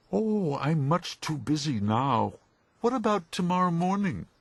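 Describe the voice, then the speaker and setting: In a put-on character voice, a man speaks at a moderate pace and high pitch over a quiet background. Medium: read story. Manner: polite, cheerful.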